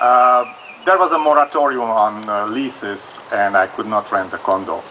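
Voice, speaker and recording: Against noticeable background noise, a man speaks at a moderate pace with a medium pitch and ordinary pitch variation. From Transylvania, Romania. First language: Hungarian or Romanian. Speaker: audience member asking legal question. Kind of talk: live Q&A at event. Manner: halting.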